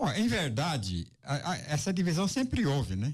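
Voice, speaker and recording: In a very clean recording with a silent background, a man with a fairly high pitch and vocal fry speaks at a fairly slow pace, his pitch swinging very widely. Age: 70s. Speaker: journalist and radio broadcaster. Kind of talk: interview.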